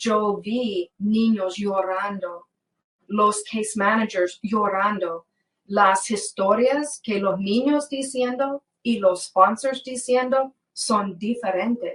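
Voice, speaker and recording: At a very slow pace, a woman talks with ordinary pitch variation. Her pitch is fairly high. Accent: non-native. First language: English (speaking Spanish). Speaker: former government case worker, whistleblower. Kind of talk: interview. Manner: halting.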